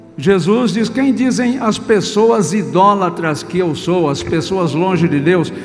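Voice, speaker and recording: A man's high-pitched voice with lively intonation, very slow pace, and music in the background. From Brazil, São Paulo state. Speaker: Presbyterian pastor; trained radio and TV announcer. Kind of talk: sermon preached to a congregation.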